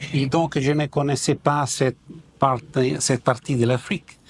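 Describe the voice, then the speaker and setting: In an Italian accent, a man at a medium pitch speaks at a very slow pace, with a dry, close sound and no echo. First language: Italian (speaking French). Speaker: ambassador. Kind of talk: formal ceremony speech. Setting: official ceremony. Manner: halting.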